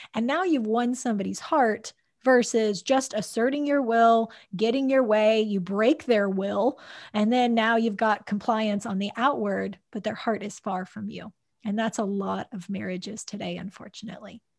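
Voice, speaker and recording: A woman with a normal speaking voice talks at a moderate pace in a fairly high pitch, with ordinary pitch variation, on a very clean recording with a silent background. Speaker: podcast host, clinical psychologist. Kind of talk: interview conversation about faith and leadership.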